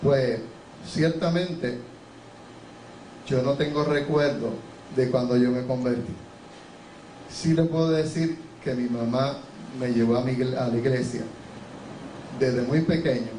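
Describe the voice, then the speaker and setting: A man speaks at a medium pitch and a fairly slow pace, his intonation fairly even and broken by long, frequent pauses. Audible room echo and noticeable background noise fill the recording. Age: 60s. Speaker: pastor. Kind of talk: testimony. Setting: church.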